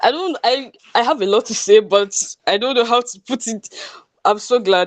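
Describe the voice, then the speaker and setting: A nervous, shaky woman speaks at a moderate pace with ordinary pitch variation. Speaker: webinar attendee. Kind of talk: audience feedback in a webinar. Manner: shaky, nervous.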